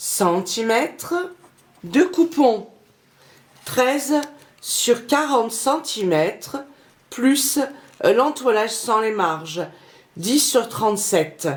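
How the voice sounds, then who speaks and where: Noticeable background noise sits behind a woman speaking at a very slow pace with long, frequent pauses. Her pitch is fairly high and swings very widely. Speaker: sewing youtuber. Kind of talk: tutorial.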